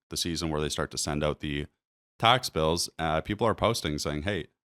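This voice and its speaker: Recorded very cleanly against a silent background with a dry, close sound and no echo, a voice with a Maritime accent moves at a fairly quick pace. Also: man. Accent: Canadian English, Maritimes. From New Brunswick, Canada. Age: 30s. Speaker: realtor. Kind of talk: market commentary video. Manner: casual, conversational.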